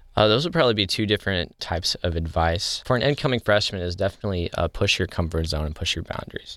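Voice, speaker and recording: Very fast and with hardly any pauses, a man at fairly low pitch speaks with lively intonation in a very clean recording over a silent background. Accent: American. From US Midwest, southeast Missouri. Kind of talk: interview.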